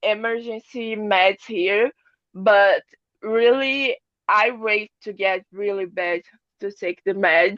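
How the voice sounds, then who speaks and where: Very slowly, a woman with a Portuguese accent speaks at a fairly high pitch, the sound dry and close with no echo. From Brazil. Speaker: long covid patient. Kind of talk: testimony. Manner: halting.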